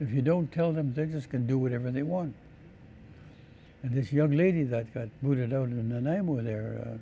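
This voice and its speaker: A man with a medium pitch and a dark, mellow tone sounds somewhat breathy, with ordinary pitch variation. He keeps a moderate pace but leaves long, frequent pauses. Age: 80s+. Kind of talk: interview.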